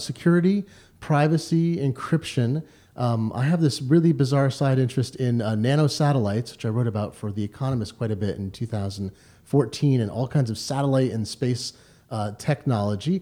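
Speaking at a fairly quick pace, a man of medium pitch shows ordinary pitch variation. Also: very clean recording, silent background. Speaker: tech journalist and podcast co-host. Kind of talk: casual chat. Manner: fast talker.

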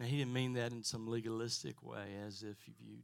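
An unremarkable speaking voice belongs to a man of medium pitch. He speaks at a fairly slow pace with ordinary pitch variation. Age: 60s. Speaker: pastor. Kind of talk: testimony. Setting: church with congregation.

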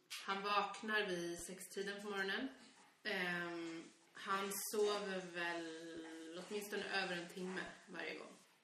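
Against noticeable background noise and audible room echo, a woman talks at a medium pitch. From Sweden, Stockholm area (Nacka). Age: 30s. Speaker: podcast co-host, parent. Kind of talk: casual chat.

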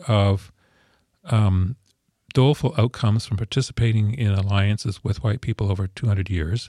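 A man with a Canadian accent and a medium pitch speaks at a moderate pace, his voice somewhat breathy. The recording is very clean and dry, close with no echo and a silent background. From Ontario, Canada. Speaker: historian. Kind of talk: interview. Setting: studio.

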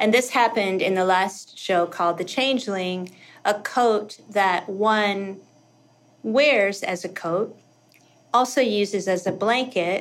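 A normal speaking voice from a woman with an American accent, medium in pitch, fairly even in intonation and fairly slow in pace. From US South, rural Kentucky. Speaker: costume designer. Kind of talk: casual interview chat.

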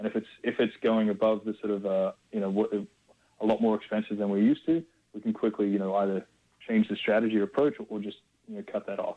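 With an Australian accent, a man talks very fast in a fairly low, dark, mellow voice with fairly even intonation. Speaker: music label executive. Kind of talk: interview. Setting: phone call. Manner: halting, many fillers.

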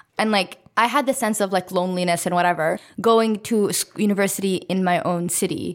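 Using an ordinary speaking voice, a woman talks at a fairly quick pace. Her medium pitch shows ordinary pitch variation. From Ottawa, Canada. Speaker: podcast co-host. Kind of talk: casual chat.

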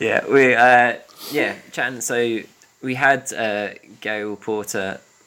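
A man speaks at medium pitch with a fairly even intonation. His pace is very slow, with noticeable background noise. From Scotland, Glasgow East End. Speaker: podcast host for a mental health organisation. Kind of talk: casual chat.

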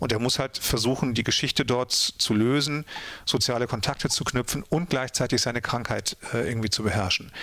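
A man's ordinary speaking voice sits at medium pitch with fairly even intonation. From Ruhr area, Germany (Mülheim an der Ruhr). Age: 50s. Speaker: author and radio drama director. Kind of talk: casual interview.

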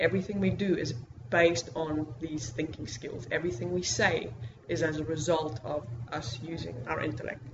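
Noticeable background noise fills the clip. Over it, a woman talks at a moderate pace, her intonation lively. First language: Afrikaans. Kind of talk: lecture. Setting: stage with audience.

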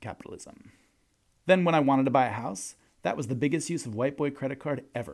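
At a very fast pace, a man talks with a medium pitch. His pitch varies in an ordinary way. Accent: American. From New York. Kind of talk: scripted comedic monologue.

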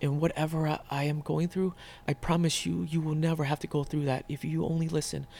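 This man has a fairly high pitch, a dark, mellow tone and a somewhat breathy sound, speaking at a fairly quick pace in a monotone, flat intonation on a very clean recording with a silent background. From Northern Virginia (moved from Vietnam at six). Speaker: chef and restaurant owner. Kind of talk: interview, casual conversation.

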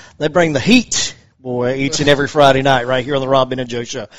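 Noticeable background noise behind a man's fairly quick delivery. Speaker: sports radio host. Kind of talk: sports talk radio. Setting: studio.

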